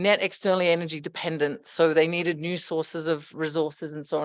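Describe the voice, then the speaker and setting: A woman with an Australian accent talks at a fairly quick pace and a fairly low pitch. Her intonation stays monotone and flat. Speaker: economics researcher. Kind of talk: conference presentation.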